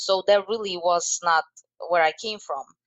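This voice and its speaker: A woman with a Slovak accent speaks at a fairly slow pace, her medium pitch held in fairly even intonation. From Slovakia. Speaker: life coach and motivational speaker. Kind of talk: interview. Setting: podcast.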